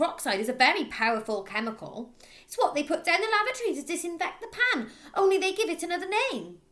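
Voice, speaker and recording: A female-sounding, put-on character voice is raised and projected, shrill and extremely high-pitched. It races at a very fast pace with very wide pitch swings. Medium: read story. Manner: shrill, shrieking.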